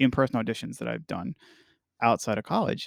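A man speaks at a fairly quick pace in an ordinary speaking voice of medium pitch. The sound is dry and close with no echo, over a quiet background. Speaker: touring musician and podcast host. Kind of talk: casual chat.

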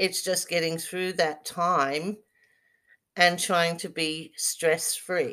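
On a very clean recording with a silent background, a woman with an Australian accent talks at a very slow pace in a fairly low pitch. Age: 50s. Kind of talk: casual monologue with guided relaxation.

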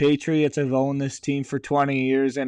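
The dry, close recording of a man's medium-pitched voice has no echo and a quiet background. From Canada. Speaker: sports podcast host. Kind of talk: casual sports commentary monologue.

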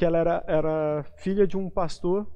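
A man's high-pitched voice in a monotone, flat intonation, over a quiet background. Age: 20s. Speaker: lay preacher. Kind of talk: sermon; testimony.

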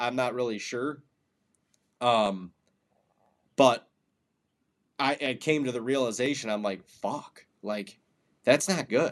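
A man's medium-pitched voice with an American accent, at a fairly slow pace. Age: 30s. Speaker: hunting podcast co-host. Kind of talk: casual chat.

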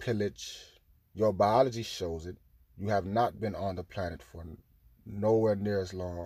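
A man with an unremarkable speaking voice talks at a fairly slow pace in a fairly low pitch, with fairly even intonation and big swings in loudness, on a very clean recording with a silent background. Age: 20s. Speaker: spiritual podcaster. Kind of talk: spiritual monologue.

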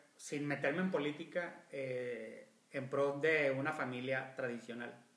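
Through audible room echo and noticeable background noise, a man with a fairly high pitch speaks at a very slow pace with ordinary pitch variation. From Monterrey, Mexico. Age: 40s. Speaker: podcast co-host. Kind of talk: casual chat.

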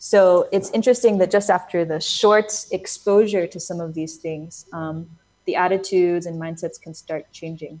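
A woman with an American accent and an unremarkable speaking voice talks at a moderate pace with medium pitch, fairly even intonation, and big swings in loudness. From United States. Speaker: education NGO founder. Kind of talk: interview.

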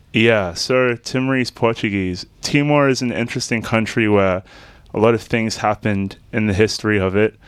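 This man has an Australian accent and a medium pitch. He talks at a moderate pace with fairly even intonation. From Australia, Melbourne southeast suburbs. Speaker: musician. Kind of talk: casual chat.

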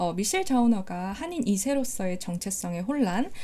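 Lively in intonation, a woman talks at a moderate pace and medium pitch in a somewhat breathy voice with a dark, mellow tone. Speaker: podcast host. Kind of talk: casual book-talk chat. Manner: emotional, animated.

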